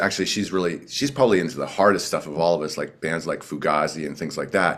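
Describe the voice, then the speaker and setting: A man's very deep, low voice at a fairly quick pace. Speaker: singer in a rock band. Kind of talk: casual interview chat.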